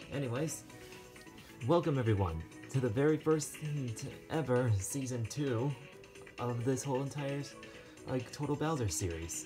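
Music runs in the background as the talk stops often for long pauses. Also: moderate pace. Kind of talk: toy role-play game show hosting.

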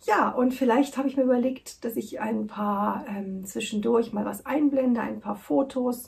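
Here a woman speaks at a fairly slow pace. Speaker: knitting podcast host. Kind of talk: casual vlog chat. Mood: warm, cheerful. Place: home room. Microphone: camera far.

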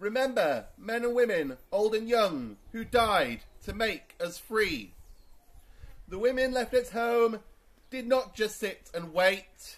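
A loud man's voice, high in pitch, with ordinary pitch variation and a very slow pace. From England. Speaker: town crier. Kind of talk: town crier proclamation in rhyming verse. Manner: loud, projected, formal. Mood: solemn and commemorative. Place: garden. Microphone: camera far.

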